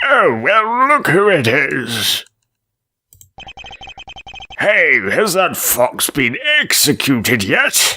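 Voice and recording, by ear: A put-on character voice at a middle pitch sounds strained, moving at a very slow pace with long, frequent pauses and very wide pitch swings.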